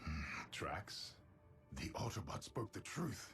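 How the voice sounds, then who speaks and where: In a cartoonish character voice, a man speaks at a fairly slow pace and fairly low pitch while clear music plays in the background. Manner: proud, deliberate.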